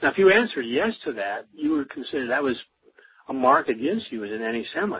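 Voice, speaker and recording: Very fast speech from a man with a fairly high pitch and very wide pitch swings. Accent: American. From US Midwest, Wisconsin. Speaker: professor. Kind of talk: interview. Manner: halting, many fillers.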